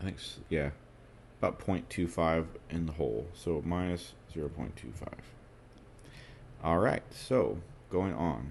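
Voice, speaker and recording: Slowish and very deep, a man's voice carries vocal fry and lively intonation. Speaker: trading indicator developer. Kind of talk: live tutorial. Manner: stutters, self-corrects; hesitant with fillers.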